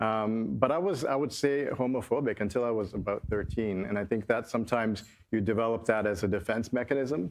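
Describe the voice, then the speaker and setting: A man speaks very fast with a Canadian accent. His pitch sits in the medium range and varies in an ordinary way. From Toronto, Canada. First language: Swahili. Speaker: panelist. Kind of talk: panel discussion.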